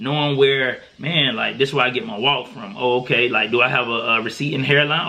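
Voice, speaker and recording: A man's medium-pitched voice comes through amid noticeable background noise. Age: 30s. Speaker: podcast host. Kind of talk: casual chat. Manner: conversational, with many fillers.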